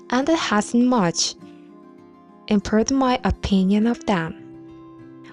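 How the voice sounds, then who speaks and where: Music plays in the background. Over it, a woman speaks at a very slow pace. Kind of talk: ASMR bedtime book reading.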